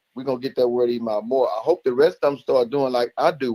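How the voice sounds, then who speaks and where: The man's voice has a dark, mellow tone and medium pitch, with ordinary pitch variation, a very fast pace and a dry, close sound with no echo. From United States. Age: 60s. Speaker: caller to a sports show. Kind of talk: casual call-in praise and sports opinion. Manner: animated.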